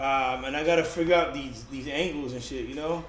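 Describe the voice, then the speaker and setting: A man speaks with noticeable background noise and audible room echo around him. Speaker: kayak fishing vlogger. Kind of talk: casual DIY vlog. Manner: loud; halting, with many fillers.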